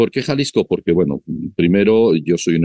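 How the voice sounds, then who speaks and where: A man talks with vocal fry and ordinary pitch variation. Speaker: business chamber representative. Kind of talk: interview. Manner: halting.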